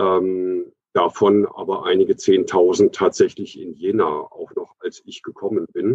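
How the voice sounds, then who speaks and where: Speaking at a fairly slow pace, a man makes big swings in loudness. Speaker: trade union official. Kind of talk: panel discussion. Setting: video call.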